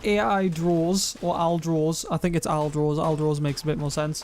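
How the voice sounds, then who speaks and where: A man's fairly high voice at a moderate pace, with fairly even intonation and very even loudness, amid noticeable background noise. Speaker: streamer reading chat.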